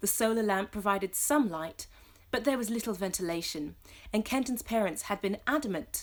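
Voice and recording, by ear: A passage is read aloud in a natural voice.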